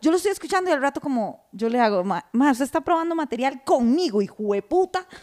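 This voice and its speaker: A woman with a Costa Rican accent, high pitch, very wide pitch swings and a very fast pace, in a dry, close sound with no echo. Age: 30s. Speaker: podcast co-host. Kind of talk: casual chat.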